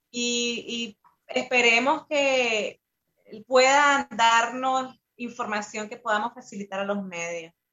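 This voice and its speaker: A woman's high voice at a very slow pace, with ordinary pitch variation and big swings in loudness. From Nicaragua. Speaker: activist and musician in exile. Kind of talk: interview. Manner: halting.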